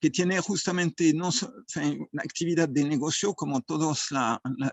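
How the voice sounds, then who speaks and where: This man talks at a fairly high pitch. His delivery is fairly slow, and his pitch varies in an ordinary way. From France. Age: 60s. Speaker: association president and food engineer. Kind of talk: forum talk. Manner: halting.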